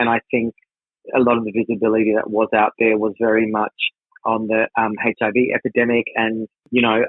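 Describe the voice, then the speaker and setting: With an Australian accent, a man speaks at a moderate pace and medium pitch. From Australia, Darwin, Northern Territory. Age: 40s. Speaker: drag performer and creative producer. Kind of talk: interview conversation.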